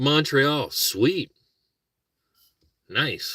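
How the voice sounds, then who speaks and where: A man with a Minnesotan accent speaks in a bright, sharp yet relaxed tone, the sound dry and close with no echo in a very clean recording with a silent background. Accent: Minnesota. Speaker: vlogger, car camper. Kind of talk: casual livestream chat. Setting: car camping, morning. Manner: relaxed, rambling.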